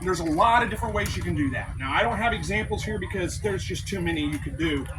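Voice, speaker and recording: A man speaks at a very fast pace. The recording has audible room echo and noticeable background noise. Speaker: quail and rabbit homesteader giving a talk. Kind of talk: presentation to a live audience. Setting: convention room with audience. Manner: projecting, loud.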